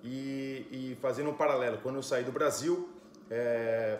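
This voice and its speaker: Room echo and clearly audible background noise accompany this man as he speaks. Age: 40s. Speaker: entrepreneur. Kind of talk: conference talk.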